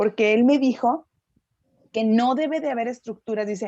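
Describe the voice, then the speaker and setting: Music plays behind a woman whose voice sits fairly high. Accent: Mexican. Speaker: English teacher, student in a class. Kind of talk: class discussion.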